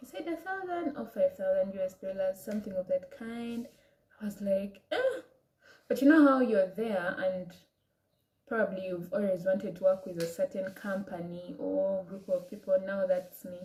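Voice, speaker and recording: A woman speaks with an African accent at a medium pitch. Her pace is moderate and her pitch variation ordinary. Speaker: vlogger. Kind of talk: personal story vlog. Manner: casual, hesitant.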